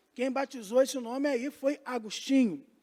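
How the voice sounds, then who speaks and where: This man's voice sits at an extremely high pitch. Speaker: pastor. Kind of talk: bible class lecture.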